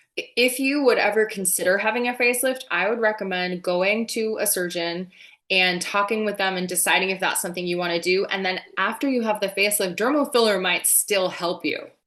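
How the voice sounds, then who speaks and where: Hardly pausing, a woman with an American accent speaks at a fairly quick pace in a bright, sharp, medium-pitched voice with ordinary pitch variation. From New Jersey, US. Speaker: nurse anesthetist and aesthetic injector, podcast host. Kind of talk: interview podcast conversation.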